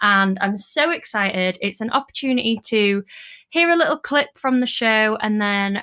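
On a very clean recording with a silent background, a woman with a British accent speaks at a moderate pace in a fairly high, bright, sharp voice with lively intonation. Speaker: podcast host, dance business owner. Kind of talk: solo monologue; casual chat.

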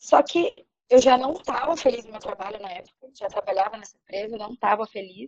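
In a dry, close recording with no echo, a woman with a fairly high pitch and a normal speaking voice talks at a fairly quick pace. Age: 30s. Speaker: podcast panelist, advertising graduate. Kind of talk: casual chat.

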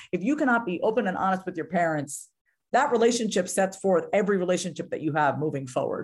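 A woman's very fast delivery at a medium pitch, with lively intonation. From New York. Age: 30s. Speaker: confidence coach. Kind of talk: interview conversation. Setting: video call.

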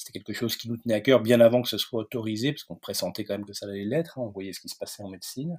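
At a very fast pace with hardly any pauses, a medium-pitched man talks with big swings in loudness. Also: ordinary pitch variation. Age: 40s. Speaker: veterinarian and entrepreneur. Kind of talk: interview. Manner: hesitant, many fillers and repetitions.

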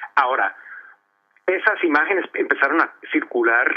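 A man speaks at a fairly slow pace. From Los Angeles, US, of Colombian parents. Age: 50s. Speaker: author and art history professor. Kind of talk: radio interview. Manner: halting, frequent word repetitions.

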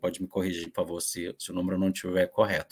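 This is a male speaker. His voice sits very deep and low. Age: 40s. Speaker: journalist. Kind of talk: panel discussion. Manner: halting.

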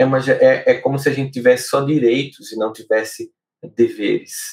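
This man's voice is fairly high and somewhat breathy, at a moderate pace. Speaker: podcast host and psychologist. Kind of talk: solo talk on emotional life. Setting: live stream video podcast.

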